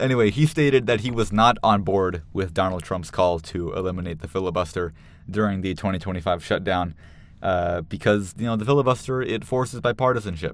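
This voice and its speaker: A man mumbles at a fairly quick pace in a very deep, low voice with ordinary pitch variation. The recording is very clean, with a silent background. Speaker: political commentator. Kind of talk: casual commentary. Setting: studio. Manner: mumbling; halting, many fillers.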